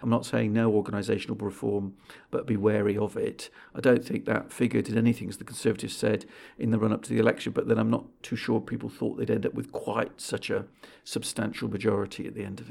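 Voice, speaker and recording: Very fast speech with a British accent. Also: man. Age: 50s. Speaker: think tank chief executive. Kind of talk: interview.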